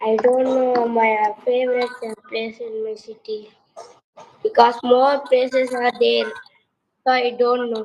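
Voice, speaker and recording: A quiet, high-pitched woman's voice at a very slow pace, flat and monotone, with long, frequent pauses and big swings in loudness. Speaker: spoken English student. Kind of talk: language class conversation practice.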